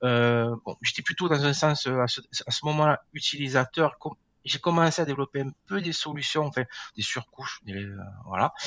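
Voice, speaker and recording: A fairly high male voice, ordinary in pitch variation, at a moderate pace. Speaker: GIS software engineer. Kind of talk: podcast interview. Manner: hesitant, many filler words.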